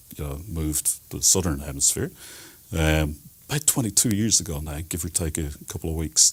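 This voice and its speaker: Spoken at a fairly quick pace in an Irish accent, the voice sits on a very clean recording with a silent background. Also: man. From Ireland, Dublin. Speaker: telematics specialist. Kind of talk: TV interview.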